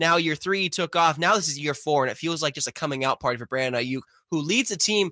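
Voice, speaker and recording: A man talks very fast in a fairly high, bright, sharp voice with ordinary pitch variation, the sound dry and close with no echo. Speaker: sports podcast host and beat writer. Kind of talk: casual sports podcast chat.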